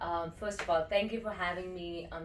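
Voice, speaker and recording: A woman speaks at a moderate pace, and the room echo is audible. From India. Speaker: breathwork and meditation teacher. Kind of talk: interview.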